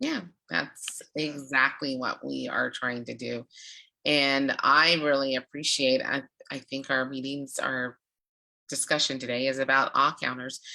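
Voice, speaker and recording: A woman speaks at a fairly slow pace with fairly even intonation, her very deep, low pitch carrying a bright, sharp tone. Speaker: public speaking club leader. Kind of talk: casual chat.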